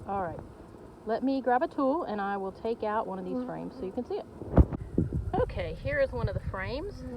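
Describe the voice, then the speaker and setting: A woman talks at a fairly quick pace, broken by long, frequent pauses. Noticeable background noise runs underneath. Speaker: farmer and educator. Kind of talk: tutorial. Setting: outdoors.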